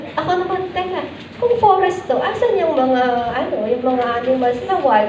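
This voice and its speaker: A loud, high-pitched woman's voice at a moderate pace, with very wide pitch swings, audible room echo and noticeable background noise. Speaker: teacher trainer / lecturer. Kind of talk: lecture. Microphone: weak microphone, too quiet.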